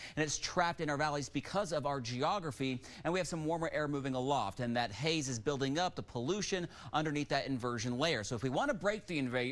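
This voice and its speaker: An unremarkable speaking voice from a man, fairly high in pitch, fairly quick, with lively intonation. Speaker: meteorologist. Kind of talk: TV weather forecast.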